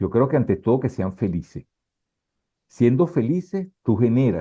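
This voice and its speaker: The man speaks in a dark, mellow tone at a moderate pace. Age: 70s. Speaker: photographer. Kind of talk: interview. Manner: casual.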